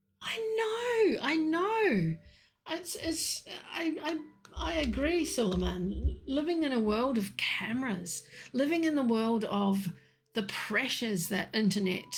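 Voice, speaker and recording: A woman's high voice with very wide pitch swings and audible room echo. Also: fairly slow pace. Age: 60s. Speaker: tea leaf reader. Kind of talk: casual livestream chat. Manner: halting with fillers.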